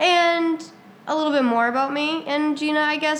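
With lively intonation, a woman speaks at a moderate pace. Noticeable background noise and audible room echo are present. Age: 18. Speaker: podcast co-host and substitute teacher. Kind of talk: casual chat.

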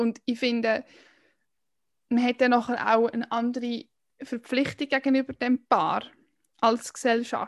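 A woman's high-pitched, monotone, flat voice, fairly slow with long, frequent pauses, in a dry, close sound with no echo. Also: quiet background. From Switzerland, canton Aargau. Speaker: podcast co-host. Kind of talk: casual chat.

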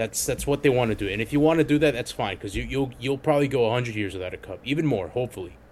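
A man talks very fast with hardly any pauses, in a medium pitch with vocal fry. His tone is animated and his pitch variation ordinary. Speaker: podcast co-host. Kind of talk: casual chat. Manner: profane, animated.

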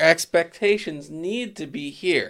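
Very clean recording with a silent background: a man speaks in an animated tone at a fairly high pitch. His intonation is lively. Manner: joking, animated.

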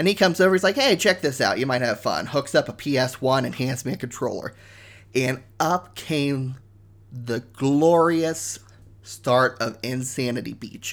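A man with an American accent speaks at a moderate pace and a medium pitch, on a very clean recording with a silent background. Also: ordinary pitch variation. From US Midwest (Ohio). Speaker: gaming podcast host. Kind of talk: solo podcast monologue. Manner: enthusiastic.

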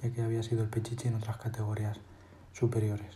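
A man speaks at a very fast pace in a medium pitch. Audible room echo surrounds his voice. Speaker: journalism student podcaster on football. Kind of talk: scripted narration.

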